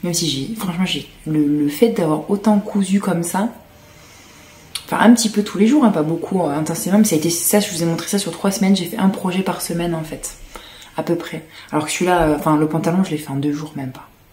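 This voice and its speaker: This voice is soft-spoken, with big swings in loudness at a fairly quick pace. Noticeable background noise sits behind it. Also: woman, fairly low pitch for a woman, ordinary pitch variation. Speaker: sewing vlogger. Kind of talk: casual vlog talk to camera.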